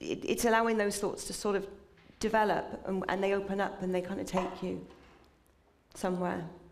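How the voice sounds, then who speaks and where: Despite long, frequent pauses, a woman moves at a fairly quick pace in a monotone, flat intonation, with noticeable background noise and audible room echo. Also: medium pitch for a woman. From England. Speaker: writer. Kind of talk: interview conversation. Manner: halting.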